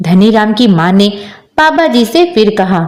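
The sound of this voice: With big pitch swings, a woman of medium pitch speaks at a fairly slow pace.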